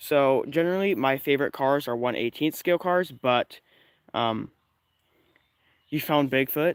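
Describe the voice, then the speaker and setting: The speaker is quiet, talking at a moderate pace with ordinary pitch variation and long, frequent pauses. The recording is very clean, with a silent background and a dry, close sound with no echo. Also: man, fairly high pitch for a man. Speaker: RC car hobbyist streamer. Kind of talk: casual live stream talk. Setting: outdoors in the woods. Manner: quiet, keeping voice down.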